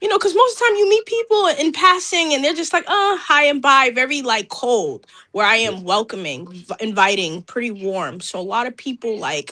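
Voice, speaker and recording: A woman talks at a moderate pace in a raised, projected voice, barely pausing at all. Her tone is bright and sharp, her pitch high, and her pitch swings very wide. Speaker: rapper and singer. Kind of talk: interview.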